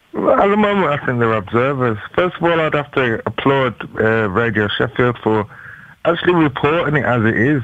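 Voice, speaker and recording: Against a quiet background with dry sound and no echo, a man talks at a moderate pace with lively intonation. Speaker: caller. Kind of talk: interview answer. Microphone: phone line.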